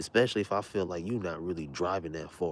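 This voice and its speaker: A man with an American accent and a very deep, low voice at a moderate pace. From Southern California. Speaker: livestreamer. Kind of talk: casual monologue. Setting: at home, late at night.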